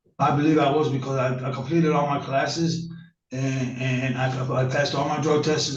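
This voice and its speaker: A fairly high man's voice in monotone, flat intonation at a fairly quick pace, with audible room echo. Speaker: defendant. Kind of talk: court testimony. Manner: fast.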